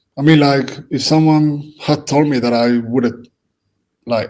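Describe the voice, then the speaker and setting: A man speaks with a Spanish accent at a fairly slow pace. His pitch is medium and his intonation fairly even. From Spain. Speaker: football coach. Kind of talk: casual chat. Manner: halting.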